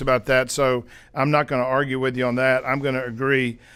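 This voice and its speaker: This is a man speaking. His pitch is fairly high. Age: 60s. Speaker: podcast host and sales mentor. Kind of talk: interview podcast conversation.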